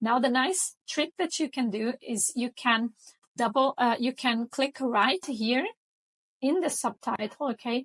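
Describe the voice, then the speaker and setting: A high-pitched woman's voice with a Portuguese accent and ordinary pitch variation, dry and close with no echo, over a quiet background. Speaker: design tutorial creator. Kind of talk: tutorial. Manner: casual, with frequent fillers.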